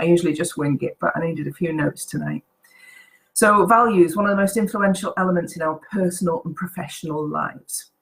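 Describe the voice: Croaky with a slightly husky edge, a woman talks at a fairly quick pace in a fairly low pitch, using ordinary pitch variation.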